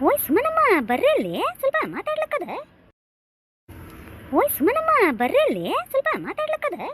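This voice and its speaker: A woman does a cartoonish character voice at a moderate pace. The sound is dry and close, with no echo. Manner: conspiratorial, chatty.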